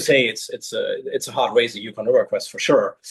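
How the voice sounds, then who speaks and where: A man speaks with a German accent. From Germany. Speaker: long distance kayaker. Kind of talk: interview. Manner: halting.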